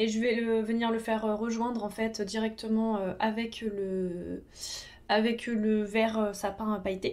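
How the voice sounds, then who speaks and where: A woman's fairly high voice at a fairly slow pace, on a very clean recording with a silent background. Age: 30s. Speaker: makeup artist, beauty youtuber. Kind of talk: casual tutorial talk while doing own makeup. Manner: hesitant, many fillers (euh).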